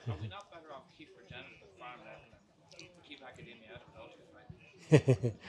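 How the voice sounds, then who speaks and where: A man talks at a very fast pace, his loudness swinging widely. Noticeable background noise runs underneath. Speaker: audience member. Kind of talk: audience question. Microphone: no mic, shouting from audience.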